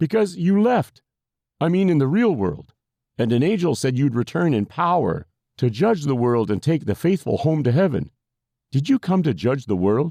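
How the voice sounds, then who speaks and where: Against a quiet background, a man puts on a character voice pitched fairly high, at a moderate pace. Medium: read story. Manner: folksy, hesitant.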